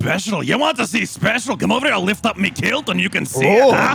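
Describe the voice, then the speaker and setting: A man does a put-on character voice in a Scottish accent, high-pitched and very fast with very wide pitch swings. Clear music plays in the background. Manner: mocking, defiant.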